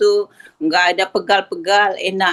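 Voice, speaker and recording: A woman speaks at a very slow pace with a medium pitch and a bright, sharp tone. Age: 70s. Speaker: participant sharing testimony. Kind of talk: testimony. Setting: video call.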